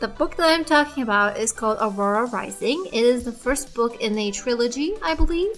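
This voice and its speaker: A woman speaks at a moderate pace with a high pitch and lively intonation. She hardly pauses, and noticeable background noise runs underneath. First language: not English. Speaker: artist and book reviewer. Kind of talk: casual voice-over while showing art process. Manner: hesitant, with fillers.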